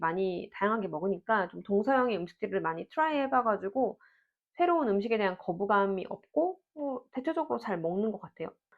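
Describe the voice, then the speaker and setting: Fairly quick and lively in intonation, a woman speaks at a medium pitch in a normal speaking voice. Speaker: parenting vlogger. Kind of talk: Q&A monologue. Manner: conversational.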